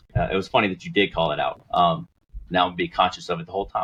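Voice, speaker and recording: A man talks with a slight Southern US accent and a fairly low pitch. His intonation is lively. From US Deep South. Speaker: project co-founder. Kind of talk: casual interview. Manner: halting.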